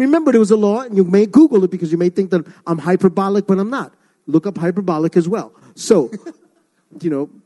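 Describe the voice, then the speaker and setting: A man with a high pitch and an American accent talks at a very fast pace with lively intonation and a dark, mellow tone, recorded with a dry, close sound and no echo. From Ecuador, raised New York City. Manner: fast talker.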